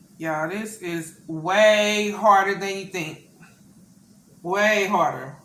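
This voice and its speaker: A woman with a Southern US accent talks at a very slow pace and medium pitch, with fairly even intonation. Her loudness swings widely over noticeable background noise. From US South. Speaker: mukbang youtuber. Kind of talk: casual vlog chat while eating. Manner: halting, stumbling on words.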